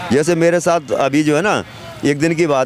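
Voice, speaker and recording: Noticeable background noise accompanies the clip. Over it, a man talks. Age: 60s. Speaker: auto-rickshaw driver. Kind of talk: street interview.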